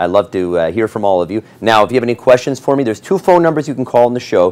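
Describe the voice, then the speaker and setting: Upbeat in tone, a man speaks with lively intonation. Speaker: TV auction host. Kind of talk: TV shopping auction pitch, selling rugs live on air. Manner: upbeat, salesy, friendly, pitching fluently with filler pauses. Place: studio. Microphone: lapel.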